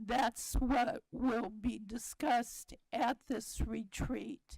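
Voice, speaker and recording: A woman's fairly high voice with vocal fry and fairly even intonation, in a dry, close sound with no echo. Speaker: college board trustee. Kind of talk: board meeting report.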